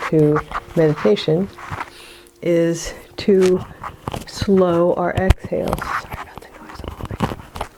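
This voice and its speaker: A woman speaks in a fairly low, guttural voice with ordinary pitch variation. Noticeable background noise runs behind her. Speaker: psychic medium and meditation guide. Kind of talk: guided meditation.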